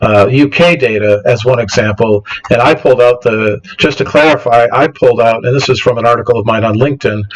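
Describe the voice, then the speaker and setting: The loudness stays very even while noticeable background noise runs underneath. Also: man. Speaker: science podcast host. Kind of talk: presentation with slides. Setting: home studio, livestream on battery power. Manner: fast; halting, many fillers and restarts.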